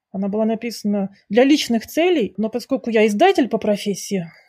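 A woman talks at a fairly quick pace and a fairly high pitch, her tone dark, mellow and somewhat breathy. The recording is very clean and dry, close with no echo, over a silent background. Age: 40s. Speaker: author and book publisher. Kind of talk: interview.

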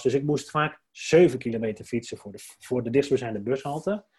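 Speaking at a moderate pace, a man has a medium pitch with ordinary pitch variation. His voice is somewhat breathy. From Drenthe, Netherlands (Dwingeloo). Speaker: entrepreneur, brand strategist. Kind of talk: casual interview. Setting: indoor podcast recording.

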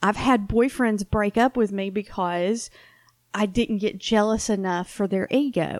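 A woman with a Southern US accent speaks at a medium pitch and a fairly slow pace with ordinary pitch variation, in a very clean recording against a silent background. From US South. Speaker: podcast co-host. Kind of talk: casual chat.

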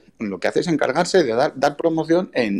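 Swinging very widely in pitch, a man speaks at a fairly quick pace. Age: 30s. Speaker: amateur American football player and club vice president. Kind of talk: interview.

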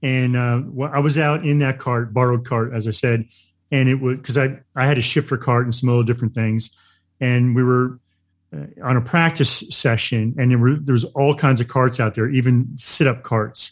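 A man speaks in a normal speaking voice at medium pitch, with fairly even intonation and a moderate pace. The recording is very clean, with a silent background. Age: middle-aged. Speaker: podcast co-host. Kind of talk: casual interview.

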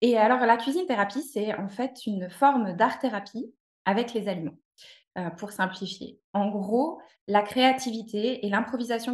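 A woman with a fairly high pitch speaks at a fairly slow pace, somewhat breathy, with ordinary pitch variation. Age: 30s. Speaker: cooking therapy practitioner. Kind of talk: interview.

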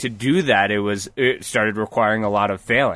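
Speaking at a moderate pace, a man with an American accent and a medium pitch has a normal speaking voice. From US Northeast (New Paltz, New York). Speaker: rock climber. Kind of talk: casual chat. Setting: parked vehicle used as mobile studio.

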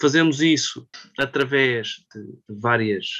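Very slow and bright, sharp in tone, a man speaks at medium pitch with ordinary pitch variation. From Portugal, Lisbon. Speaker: economist and business consultant. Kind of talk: casual chat.

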